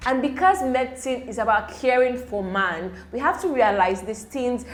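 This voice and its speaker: Here a woman speaks with a Nigerian accent. Her pitch is fairly high, and her intonation is lively. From Nigeria (Igbo). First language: Igbo. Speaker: medical student youtuber. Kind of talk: tutorial. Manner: casual, hesitant with fillers.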